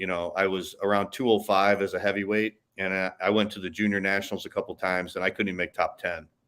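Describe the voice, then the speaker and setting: On a very clean recording with a silent background, a man with an American accent speaks at a fairly quick pace in a monotone, flat way. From US Midwest, Chicago. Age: 60s. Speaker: retired bodybuilder and fitness coach. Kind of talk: podcast interview.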